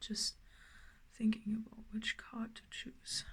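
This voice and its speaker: Her voice comes out somewhat breathy as this woman speaks very slowly. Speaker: tarot reader. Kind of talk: tarot reading. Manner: halting, many fillers.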